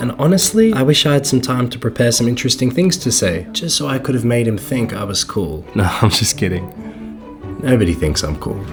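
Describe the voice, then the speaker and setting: A man's medium-pitched voice with very wide pitch swings, over noticeable background noise. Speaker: climber and videographer vlogger. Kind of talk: vlog narration.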